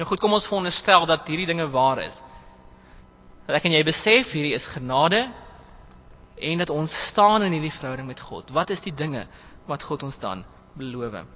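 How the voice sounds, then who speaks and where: In an ordinary speaking voice, a man with a fairly high pitch talks with lively intonation and big swings in loudness. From southern Free State, South Africa. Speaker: preacher. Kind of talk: sermon.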